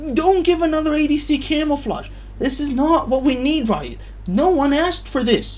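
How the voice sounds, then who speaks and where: Someone is shouting loudly at a moderate pace. Noticeable background noise can be heard. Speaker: gaming YouTuber. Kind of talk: gaming rant. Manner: animated; loud, yelling.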